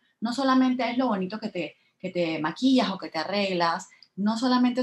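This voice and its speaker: Lively intonation from a somewhat breathy woman at medium pitch and moderate pace. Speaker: podcast host. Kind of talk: casual interview chat.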